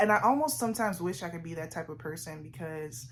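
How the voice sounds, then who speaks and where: A woman speaks at a moderate pace in a fairly low, somewhat breathy voice. Her intonation is lively. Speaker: vlogger. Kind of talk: casual sit-down vlog monologue.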